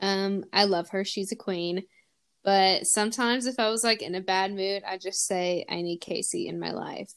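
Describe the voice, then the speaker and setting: A plain, everyday voice at a moderate pace with fairly even intonation, on a very clean recording against a silent background. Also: woman, medium pitch for a woman. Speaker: podcast host. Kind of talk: casual chat.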